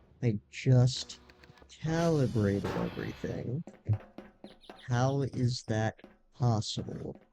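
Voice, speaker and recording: Over background music, a man at medium pitch speaks at a very slow pace with long, frequent pauses and ordinary pitch variation. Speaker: gaming streamer. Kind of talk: casual gameplay commentary. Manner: hesitant, many fillers.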